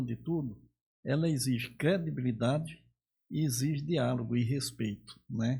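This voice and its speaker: A man speaks at a medium pitch with ordinary pitch variation. His voice is somewhat breathy, with a dark, mellow tone. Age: 70s. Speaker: veteran politician. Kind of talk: interview conversation.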